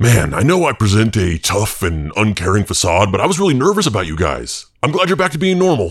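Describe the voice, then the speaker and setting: Using a gruff, put-on character voice pitched fairly low, a man talks at a fairly quick pace with hardly any pauses in a very clean recording with a silent background. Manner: crude, profane, gruff.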